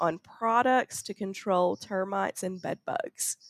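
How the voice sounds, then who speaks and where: Speaking very slowly in a Southern US accent, a woman is heard on a very clean recording with a silent background and a dry, close sound with no echo. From Arkansas, US South. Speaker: university researcher and farm station director. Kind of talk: interview, conversational. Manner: laughs often, friendly.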